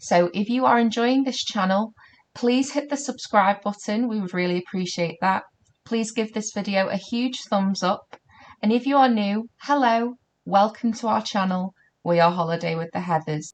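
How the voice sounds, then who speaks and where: A normal speaking voice from a woman, fairly high in pitch, with ordinary pitch variation and a moderate pace. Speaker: YouTuber. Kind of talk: channel intro.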